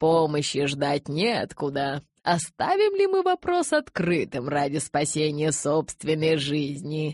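A woman uses a put-on character voice, low in pitch with a slightly mellow tone. She goes at a slow pace with lively intonation.

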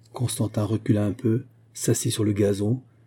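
The clip has an unforced reading voice. It is an unforced reading voice throughout.

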